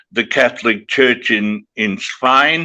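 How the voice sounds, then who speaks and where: In an Australian accent, a man speaks in a bright, sharp tone with ordinary pitch variation against a quiet background. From Western Australia. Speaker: broadcaster and author. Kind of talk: podcast interview answer.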